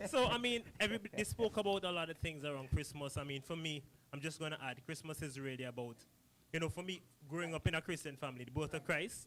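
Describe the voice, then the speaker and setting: Speaking at a very fast pace, this man has a fairly high pitch. His tone is animated and his intonation lively. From Saint Vincent. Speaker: company representative. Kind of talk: promotional talk on a live podcast.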